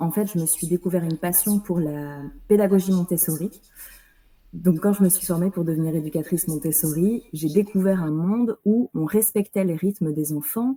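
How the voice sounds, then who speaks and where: This woman's voice sits fairly low in pitch. Its tone is dark and mellow. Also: dry, close sound with no echo. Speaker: Montessori educator and nonviolent communication facilitator. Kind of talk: podcast interview.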